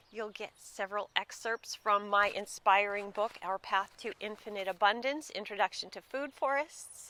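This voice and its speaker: A fairly slow woman's voice, bright and sharp in tone. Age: 50s. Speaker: food forestry educator and author. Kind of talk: sales pitch.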